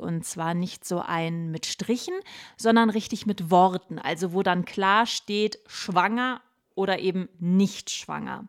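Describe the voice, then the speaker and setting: A woman speaks at a fairly slow pace in an animated tone, her pitch medium with ordinary variation. The sound is dry and close, with no echo. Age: 30s. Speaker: pregnancy podcast host. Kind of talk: personal diary-style monologue.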